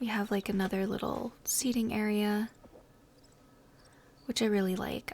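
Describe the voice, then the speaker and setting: A soft-spoken woman whispers at a fairly slow pace. Her voice is somewhat breathy. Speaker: ASMR gaming content creator. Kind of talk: casual talk to camera, gameplay tour. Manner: soft-spoken, whispery.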